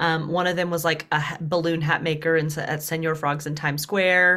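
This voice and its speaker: Fairly quick and flat in monotone, a woman speaks with a bright, sharp tone and a slight Southern US accent. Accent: Southern US, slight twang. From US Deep South. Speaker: dating coach.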